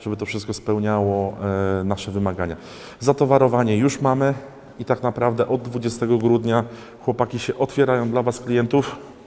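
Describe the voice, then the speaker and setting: Dark and mellow in tone, a man's voice moves at a fairly quick pace with fairly even intonation. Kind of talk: walkthrough tour commentary. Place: garage.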